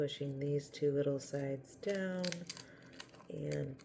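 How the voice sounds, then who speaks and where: A woman speaking at a very slow pace, with noticeable background noise. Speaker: candle and soap making vlogger. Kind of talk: crafting tutorial. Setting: at home, upstairs. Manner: soft-spoken.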